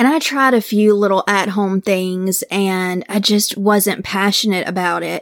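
A woman with a medium pitch speaks at a fairly slow pace. The recording is very clean, with a silent background. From Mississippi, US South. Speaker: true crime podcaster. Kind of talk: case storytelling; casual interview chat.

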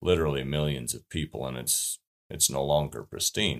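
With a western US accent, a man speaks at a fairly quick pace with a very deep, low pitch, vocal fry, and fairly even intonation. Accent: rural western US. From southern Utah. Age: 40s. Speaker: hunting writer and rancher. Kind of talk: interview.

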